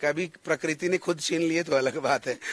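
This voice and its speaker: Talking at a moderate pace, a man uses a high pitch. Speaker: singer and stage anchor. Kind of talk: interview.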